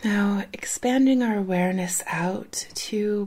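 Very slowly, a woman speaks in a dark, mellow, somewhat breathy voice with a soothing, calm tone and ordinary pitch variation. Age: 40s. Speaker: parenting podcast host. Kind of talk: guided meditation. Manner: slow, soft, soothing and unhurried, with long calm pauses.

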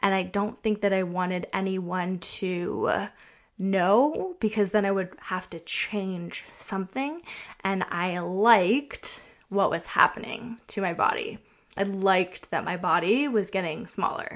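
An unremarkable speaking voice from a woman at medium pitch, fairly slow, with ordinary pitch variation and a quiet background. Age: 30s. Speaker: kinesiologist and prenatal fitness coach, podcast host. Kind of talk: personal storytelling monologue.

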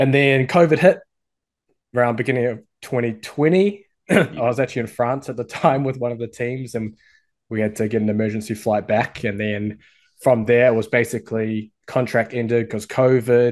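A man with a New Zealand accent speaks at a moderate pace in a medium pitch, with ordinary pitch variation and a quiet background. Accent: New Zealand (Kiwi). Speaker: sports coach and website owner. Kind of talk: interview chat.

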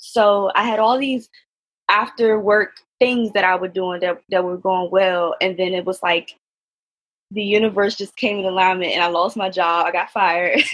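A woman with an American accent at a moderate pace, with fairly even intonation. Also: medium pitch for a woman. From Washington DC, US. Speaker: self-love and relationship coach. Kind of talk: podcast interview. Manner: halting, many fillers.

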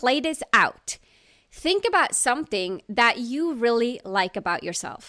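A woman with a non-native accent speaks at a moderate pace in a bright, sharp tone. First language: not English. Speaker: leadership coach and podcast host. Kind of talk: solo podcast monologue.

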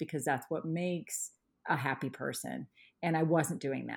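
A woman speaks in a plain, everyday voice with an American accent. Her pitch is fairly low with ordinary variation, on a very clean recording with a silent background. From Indiana. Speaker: art teacher. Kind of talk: interview conversation.

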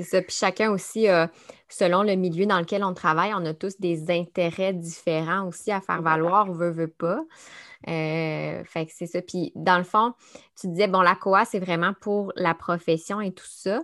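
A woman at a medium pitch, fairly slow pace and fairly even intonation, in a very clean recording with a silent background. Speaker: podcast host and speech-language pathologist. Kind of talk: casual interview. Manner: hesitant, many fillers.

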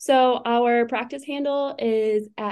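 In an American accent, a woman speaks in an ordinary speaking voice at a fairly high pitch with ordinary pitch variation. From Wisconsin. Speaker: chiropractor. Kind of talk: podcast interview.

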